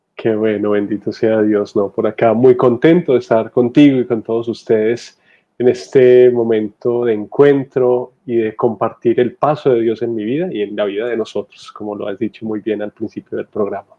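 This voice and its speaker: Fairly even in intonation, a man speaks at a medium pitch in an unremarkable speaking voice. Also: moderate pace. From Colombia, Medellín (Antioquia). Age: 30s. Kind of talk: testimony.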